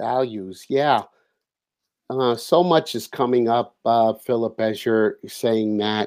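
A man talks at a very slow pace in a medium pitch with ordinary pitch variation. The recording is very clean, with a silent background. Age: 60s. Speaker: holistic coach. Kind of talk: interview.

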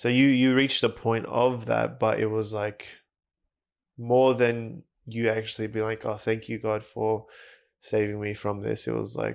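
A plain, everyday voice, this man's is medium in pitch, fairly even in intonation and fairly slow in pace, heard against a quiet background. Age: 20s. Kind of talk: casual chat; reading aloud.

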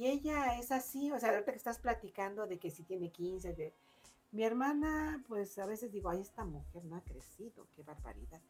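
Her voice is somewhat breathy and medium in pitch, with lively intonation. The woman keeps a moderate pace while her loudness swings widely. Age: 60s. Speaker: book podcast co-host. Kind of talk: casual chat.

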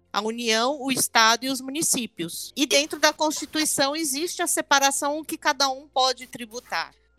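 A raised, projected voice speaks at a moderate pace. Music plays in the background. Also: woman, high pitch for a woman, ordinary pitch variation, hardly any pauses, dry, close sound with no echo. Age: 50s. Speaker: tax lawyer. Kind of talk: podcast interview.

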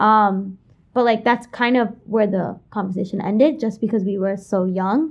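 Speaking at a moderate pace over a quiet background, a woman with a New York accent uses a fairly high pitch and ordinary pitch variation. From New York City (Kensington, Brooklyn). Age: 20s. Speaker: college student. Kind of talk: interview.

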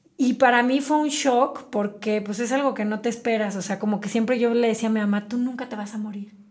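The speaker goes at a fairly quick pace with hardly any pauses and fairly even intonation. Noticeable background noise is present. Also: woman, fairly high pitch for a woman. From Mexico, Celaya, Guanajuato. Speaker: entrepreneur, tea shop franchise owner. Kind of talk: interview storytelling.

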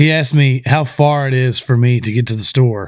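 On a very clean recording with a silent background, a man speaks at a fairly high pitch. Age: 30s. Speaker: podcast host. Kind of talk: casual chat. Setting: studio. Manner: loud.

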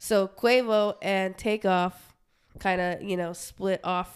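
A woman with an American accent speaks at a medium pitch with fairly even intonation, an ordinary speaking voice. The recording is very clean, with a silent background. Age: 20s. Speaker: podcast co-host. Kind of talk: casual chat.

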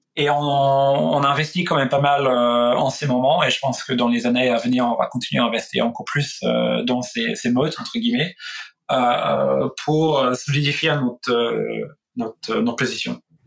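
Keeping a very even loudness, a man speaks at a fairly slow pace. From Australia. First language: English (speaking French). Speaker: tech executive. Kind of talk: interview. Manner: halting.

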